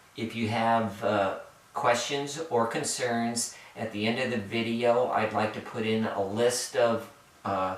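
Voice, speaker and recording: A man speaks very slowly at a medium pitch. Noticeable background noise and audible room echo fill the recording. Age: 60s. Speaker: hiker. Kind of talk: gear tutorial. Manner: halting, many fillers.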